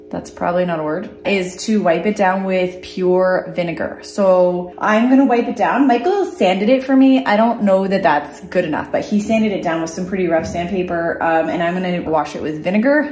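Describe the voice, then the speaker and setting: A woman at a moderate pace with ordinary pitch variation and hardly any pauses, over light background noise and audible room echo. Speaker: DIY vlogger. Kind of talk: casual vlog chat. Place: workshop. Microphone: phone near.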